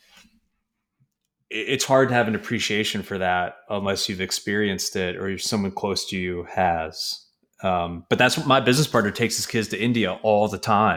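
A man with an American accent has an ordinary speaking voice at a fairly low pitch, with ordinary pitch variation. He speaks at a moderate pace on a very clean recording with a silent background. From New York. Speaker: real estate investor. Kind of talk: casual chat.

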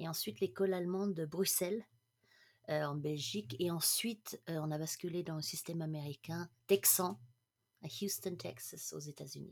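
A woman with a plain, everyday voice, fairly low in pitch, at a moderate pace with ordinary pitch variation. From international upbringing, mainly Germany. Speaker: management coach. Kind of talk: casual interview chat.

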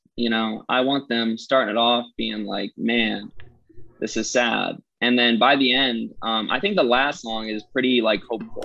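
Moderately paced male speech at a medium pitch, fairly even in intonation, with music in the background. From Massachusetts, US. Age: 20s. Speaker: musician. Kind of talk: casual interview.

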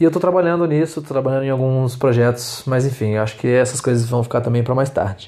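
Talking at a very fast pace with hardly any pauses, a man keeps very even loudness and ordinary pitch variation. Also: medium pitch for a man. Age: 20s. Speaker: podcaster, law student. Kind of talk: solo monologue podcast. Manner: halting.

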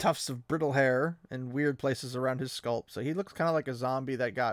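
Reading is done here in a natural voice.

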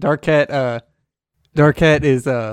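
A man's plain, everyday voice, at a fairly slow pace with ordinary pitch variation, on a very clean recording with a silent background. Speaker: tabletop game player. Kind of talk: tabletop roleplaying game session, casual.

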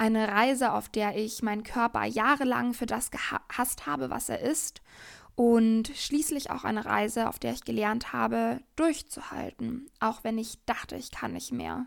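On a very clean recording with a silent background, a woman speaks fairly slowly. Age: 20s. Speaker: podcast host, yoga teacher and coach. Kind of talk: personal monologue.

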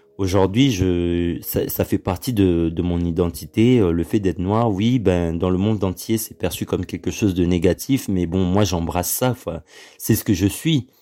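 A man talks at a fairly slow pace in a very deep, low voice with a dark, mellow tone. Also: ordinary pitch variation. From Congo. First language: Lingala (speaking French). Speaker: podcast host. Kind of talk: solo monologue podcast. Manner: hesitant with many fillers.

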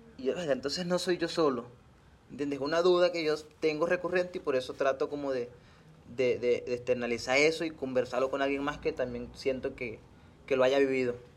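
A man with a fairly high pitch moves at a fairly quick pace, his pitch varying in an ordinary way. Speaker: podcast host. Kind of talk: casual chat.

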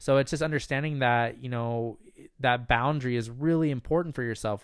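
A man speaks at medium pitch. He has a normal speaking voice. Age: 20s. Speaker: podcast host and meditation coach. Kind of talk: solo Q&A podcast monologue. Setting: recording while staying in Michigan.

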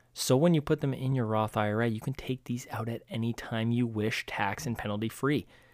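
Over a silent background in a very clean recording, a man talks at a moderate pace with a plain, everyday voice, medium pitch and fairly even intonation. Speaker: podcast host. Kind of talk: solo investing commentary. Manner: casual, many filler words.

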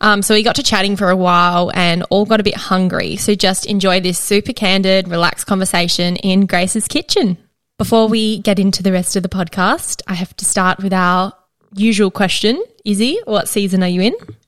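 In a very clean recording with a silent background, a woman with an Australian accent talks at a fairly quick pace, her medium-pitched voice using fairly even intonation. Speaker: podcast host. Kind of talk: scripted intro and casual chat. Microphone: good audio.

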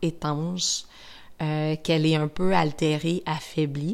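A woman with a Quebec accent on a very clean recording with a silent background. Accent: Québécois French. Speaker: skincare brand educator. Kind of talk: podcast monologue.

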